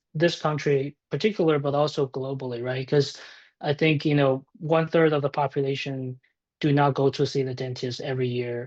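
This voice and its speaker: Speaking with a Chinese accent, a man talks at a fairly quick pace and a fairly high pitch, with a dry, close sound and no echo. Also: quiet background. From China. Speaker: tech startup founder. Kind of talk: podcast interview.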